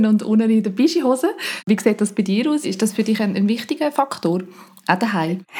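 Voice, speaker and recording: A woman talks at a fairly quick pace in a medium pitch. She has an ordinary speaking voice. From Dietikon, Limmatal, canton Zurich. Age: 30s. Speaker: mother, listener interviewer. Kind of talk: casual interview questions.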